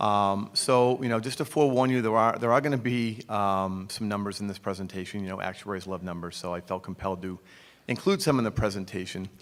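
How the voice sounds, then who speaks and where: A man speaks in a Boston accent. His pace is very fast. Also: ordinary pitch variation. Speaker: actuarial consultant. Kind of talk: conference presentation. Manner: frequent fillers (um, uh).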